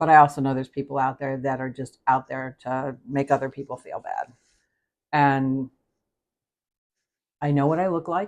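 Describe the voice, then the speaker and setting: A woman's very deep, low-pitched voice, monotone and flat, with long, frequent pauses. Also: moderate pace. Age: 60s. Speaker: cooking channel host. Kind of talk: live stream chat while cooking. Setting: live stream. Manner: casual, chatty with fillers.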